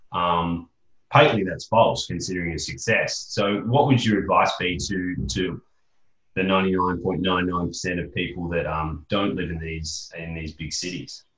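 In an Australian accent, a man with a very deep, low pitch speaks at a fairly slow pace, his loudness swinging widely. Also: ordinary pitch variation. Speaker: podcast host and interviewer. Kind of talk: podcast interview.

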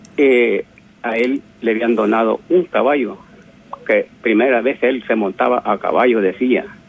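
The man's speech is fairly slow. Background noise is clearly noticeable. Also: medium pitch for a man, ordinary pitch variation. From El Salvador. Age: 70s. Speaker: caller. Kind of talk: testimony.

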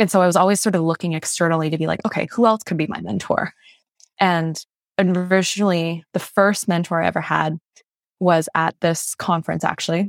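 A woman's fairly low voice at a fairly quick pace, fairly even in intonation, dry and close with no echo, on a very clean recording with a silent background. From Malaysia/New Brunswick, Canada. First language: Mandarin. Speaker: entrepreneur and consultant. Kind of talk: casual interview conversation.

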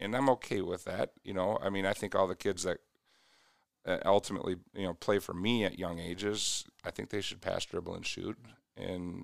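In a very clean recording with a silent background and a dry, close sound with no echo, a man with an American accent talks at a moderate pace in a fairly low pitch, an ordinary speaking voice. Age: 40s. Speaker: youth basketball coach. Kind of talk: casual interview.

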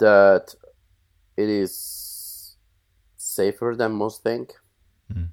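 Pausing long and often, a man with a Colombian accent speaks at a very slow pace. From Colombia (Bogota). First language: Spanish. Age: 40s. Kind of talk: interview, casual conversation.

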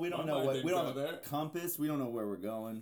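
A man talks at a fairly quick pace with ordinary pitch variation. Background noise is noticeable. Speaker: podcast host. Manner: casual, joking.

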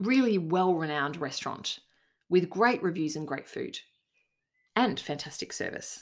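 A woman with an Australian accent, fairly low in pitch, at a moderate pace, with lively intonation and long, frequent pauses. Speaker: leadership coach and podcast host. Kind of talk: solo podcast monologue.

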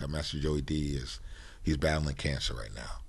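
This man speaks with an American accent at a moderate pace, his pitch varying in an ordinary way. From Connecticut, Bridgeport/Stratford area. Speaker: hip-hop producer and record dealer. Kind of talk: interview. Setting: studio.

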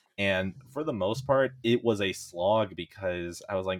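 Speaking at a fairly slow pace, a man with fairly low pitch and an unremarkable speaking voice is heard in a dry, close sound with no echo on a very clean recording with a silent background. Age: 20s. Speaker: gamer and anime fan guest. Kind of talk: casual chat.

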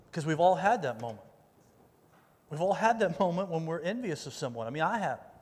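A high-pitched man speaks at a very fast pace with lively intonation and long, frequent pauses, his voice carrying audible room echo. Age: 40s. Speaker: youth pastor. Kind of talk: sermon. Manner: casual, conversational with many fillers.

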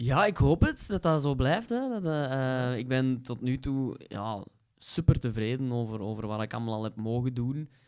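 A man with a Kempen accent at a medium pitch. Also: ordinary pitch variation, fairly slow pace, very clean recording, silent background. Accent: Flemish (Kempen). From Belgium, Kempen (Vosselaar). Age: 30s. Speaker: stand-up comedian. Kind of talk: casual chat.

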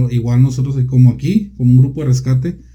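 A somewhat breathy man at medium pitch, dark and mellow in tone, talking fairly quickly amid audible room echo. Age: 30s. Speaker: volunteer firefighter commander. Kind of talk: interview. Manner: halting.

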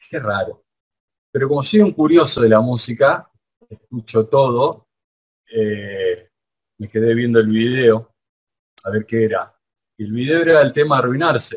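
With a Rosario accent, this speaker uses ordinary pitch variation and leaves long, frequent pauses. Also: man, medium pitch for a man. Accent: Rioplatense Spanish (Rosario). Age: 40s. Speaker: radio host. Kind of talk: interview. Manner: halting.

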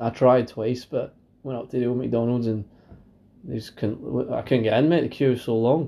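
A man speaks in a normal speaking voice. His pace is moderate and his intonation fairly even. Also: medium pitch for a man. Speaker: podcast co-host. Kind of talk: casual chat.

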